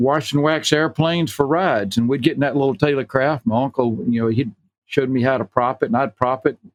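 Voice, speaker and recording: Speaking with a Southern US accent at a medium pitch, a man talks at a fairly quick pace with ordinary pitch variation in a dry, close sound with no echo. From US South, Enterprise, Alabama. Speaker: retired pharmacist and vintage aircraft owner. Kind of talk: interview.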